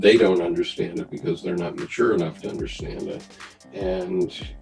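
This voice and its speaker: Music plays in the background as a man speaks. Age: 70s. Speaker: retired Marine and business executive. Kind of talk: interview answer.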